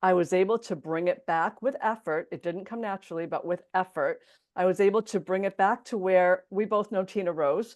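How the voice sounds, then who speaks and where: A woman talks at a fairly quick pace in a normal speaking voice, medium in pitch with ordinary pitch variation. The background is quiet. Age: 60s. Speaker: entrepreneur and podcast host being interviewed. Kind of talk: interview.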